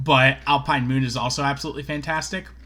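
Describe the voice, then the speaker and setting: In a medium pitch and at a moderate pace, a man talks with a bright, sharp tone and a monotone, flat intonation. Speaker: card game content creator. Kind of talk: casual monologue asking viewers for advice. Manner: hesitant, many fillers.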